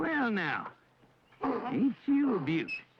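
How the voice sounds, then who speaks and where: This put-on character voice sits at a fairly high pitch and drawls its words. Its pitch swings very widely. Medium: short film. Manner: folksy drawling backwoods talk.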